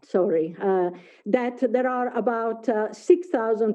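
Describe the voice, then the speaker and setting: A woman with an Italian accent speaks at a moderate pace and a fairly high pitch. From Italy. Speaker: professor. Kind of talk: lecture. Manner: halting, many fillers.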